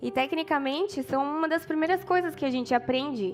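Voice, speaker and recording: A woman in a São Paulo countryside accent, lively in intonation and moderate in pace, with music in the background. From interior of São Paulo state, Brazil. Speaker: preacher. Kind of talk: sermon. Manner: casual, with hesitations.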